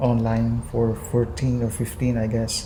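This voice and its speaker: A strong Visayan accent at a fairly slow pace, with noticeable background noise. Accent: thick Visayan accent in Tagalog. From Visayas, Philippines. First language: Visayan (Cebuano). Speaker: YouTuber. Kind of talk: casual vlog. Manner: halting, many fillers.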